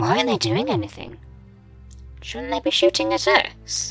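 Clear music plays in the background while the speech moves at a moderate pace. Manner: anxious, questioning.

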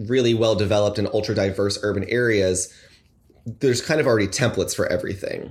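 The man has an unremarkable speaking voice with a fairly low pitch. His intonation is fairly even. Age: 20s. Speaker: podcast guest. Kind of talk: casual chat.

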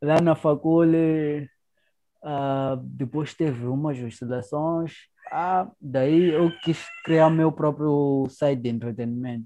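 Fairly even intonation marks this man's very slow speech. His pitch is fairly high. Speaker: podcast host. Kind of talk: casual chat.

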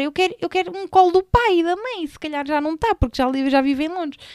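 A woman with a Lisbon accent speaks in an animated tone at an extremely high pitch. Her intonation is lively, and the sound is dry and close with no echo. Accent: European Portuguese, Lisbon. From Portugal, Sintra line (Lisbon area). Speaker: podcast host. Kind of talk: casual chat.

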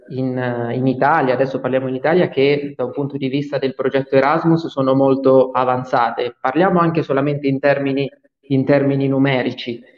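A man talks at a fairly high pitch and a moderate pace. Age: 20s. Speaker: student association president. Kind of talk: interview. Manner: halting.

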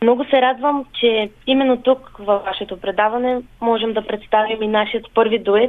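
A woman at a fairly high pitch, moderate pace, with monotone, flat intonation. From Kyustendil, western Bulgaria. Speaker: folk singer. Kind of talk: radio interview.

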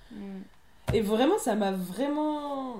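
Amid audible room echo, a woman speaks with lively intonation. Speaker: theatre company member, film student. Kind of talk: casual chat.

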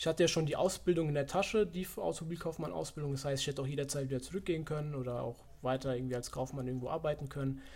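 Very fast and with hardly any pauses, a man speaks in a somewhat breathy, fairly high voice with ordinary pitch variation. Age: 20s. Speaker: fitness economics student. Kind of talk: casual interview.

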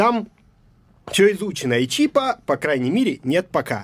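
A man talks at a very slow pace with a high pitch. His voice moves in very wide pitch swings. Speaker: poet and writer. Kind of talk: casual chat. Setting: studio.

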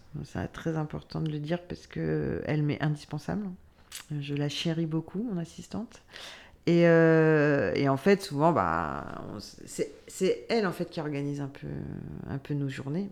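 A woman speaks at a fairly slow pace in a very deep, low voice, with ordinary pitch variation and long, frequent pauses. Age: 40s. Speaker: casting director. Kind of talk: interview.

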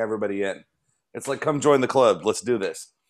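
A man with an American accent talks very fast with ordinary pitch variation, in a very clean recording with a silent background. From Chicago. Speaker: chef, podcast host. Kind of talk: casual chat.

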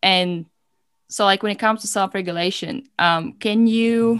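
With a non-native accent, a woman speaks using fairly even intonation. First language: not English. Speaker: podcast host and coach. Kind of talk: casual chat. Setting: video call. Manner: calm.

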